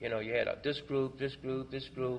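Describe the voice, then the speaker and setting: A man speaks with a Mississippi accent at a medium pitch. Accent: Southern US (Mississippi). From Clarksdale, Mississippi. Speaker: Vietnam veteran, foundation co-director. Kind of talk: library talk, oral history book discussion. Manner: hesitant, conversational.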